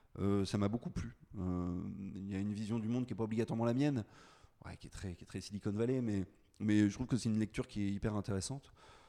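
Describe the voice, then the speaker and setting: A man's fairly low-pitched voice with a dark, mellow tone, fairly even intonation and a very fast pace. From Brittany, France (Brest area). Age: 40s. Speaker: entrepreneur. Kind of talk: interview.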